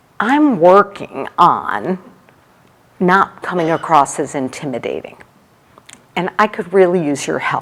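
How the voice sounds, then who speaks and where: Loud speech at a fairly slow pace, with long, frequent pauses and very wide pitch swings. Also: woman. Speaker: HR executive and leadership speaker. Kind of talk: conference talk. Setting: stage with audience. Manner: animated.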